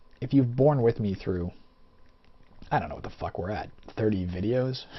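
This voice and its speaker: A man's somewhat breathy voice at a medium pitch, with lively intonation. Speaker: let's play gamer. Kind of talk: gameplay commentary. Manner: fast; slurred speech.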